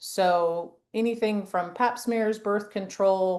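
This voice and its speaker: In a plain, everyday voice, a woman speaks at medium pitch with ordinary pitch variation. Her pace is fairly slow, and the background is quiet. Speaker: women's health nurse practitioner. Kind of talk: presentation. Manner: casual, filler-heavy.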